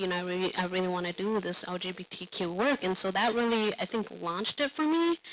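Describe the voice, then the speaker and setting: This woman has a non-native accent. Her voice sits at a medium pitch. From refugee family, raised in US public housing. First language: not English. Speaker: panelist, LGBTQ community organizer. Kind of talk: panel discussion. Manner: hesitant, many fillers and restarts.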